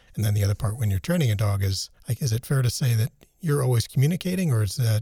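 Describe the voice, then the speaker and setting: A man at a very fast pace, fairly low in pitch, somewhat breathy, with a dark, mellow tone and a dry, close sound with no echo. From United States. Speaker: podcast co-host. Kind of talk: casual chat.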